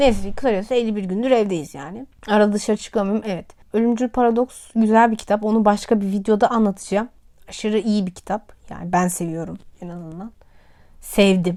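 On a very clean recording with a silent background, a woman's medium-pitched voice, dark and mellow in tone, moves at a fairly quick pace with ordinary pitch variation. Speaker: vlogger and science teacher. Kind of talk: casual vlog monologue. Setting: at home, sitting on a pouf. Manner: chatty, talkative.

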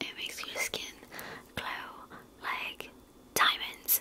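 A soft-spoken woman whispers over light background noise. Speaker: makeup roleplay creator. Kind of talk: roleplay chat to viewer. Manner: soft intimate ASMR whisper. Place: home room. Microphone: phone near.

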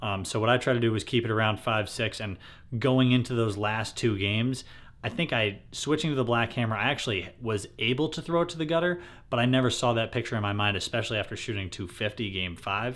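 Pitch variation is ordinary in this man's speech. He moves at a fairly quick pace. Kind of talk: casual vlog chat. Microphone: phone near.

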